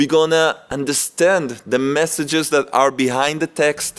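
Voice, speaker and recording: Against music in the background, a man with a non-native accent speaks at a fairly slow pace in a fairly high pitch. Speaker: rabbi. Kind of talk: religious lecture. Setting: yeshiva with audience. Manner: halting.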